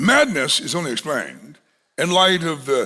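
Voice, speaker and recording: A man speaks loudly, his pitch swinging very widely. His pace is fairly slow. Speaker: pastor. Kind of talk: sermon.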